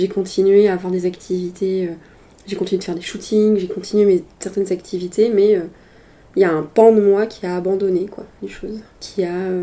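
A woman with a dark, mellow tone speaks at a moderate pace in a monotone, flat intonation, her loudness swinging widely. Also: medium pitch for a woman. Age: 30s. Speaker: sex worker. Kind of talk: casual interview conversation.

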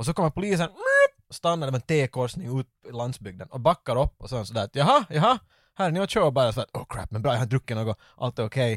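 A man's medium-pitched voice at a very fast pace with lively intonation, dry and close with no echo. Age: 30s. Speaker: podcast host. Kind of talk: casual chat.

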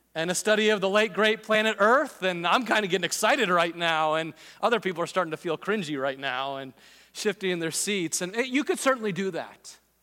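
Raising and projecting his voice, a man speaks fairly quickly at a high pitch with lively intonation, on a very clean recording with a silent background. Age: 40s. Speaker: pastor. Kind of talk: sermon. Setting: church auditorium with live audience.

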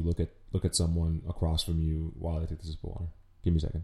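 A man speaks at a very fast pace with a very deep, low pitch. His dark, mellow tone is somewhat breathy, in a very clean recording with a silent background. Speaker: podcast host. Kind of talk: casual solo podcast monologue with swearing. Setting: home recording, audio only, no camera. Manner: casual, chatty, self-aware.

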